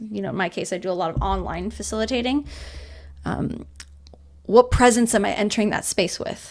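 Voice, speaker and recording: In a very clean recording with a silent background, a woman speaks at medium pitch with vocal fry. Her pace is fairly quick and her pitch variation ordinary. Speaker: community facilitator. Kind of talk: podcast interview. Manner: fast; energetic.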